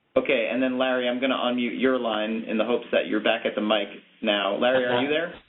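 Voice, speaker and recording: With noticeable background noise behind him, a man speaks at a very fast pace, keeping fairly even intonation and very even loudness. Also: medium pitch for a man. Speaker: webinar moderator. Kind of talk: webinar moderation. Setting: online webinar call.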